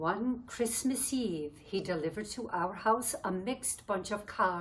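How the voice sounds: The recording features a natural reading voice.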